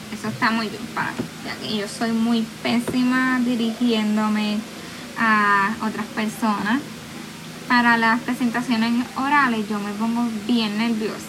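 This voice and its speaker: A woman speaks at a fairly slow pace in a fairly high pitch with a monotone, flat intonation, with audible room echo and noticeable background noise. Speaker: student. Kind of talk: solo podcast monologue.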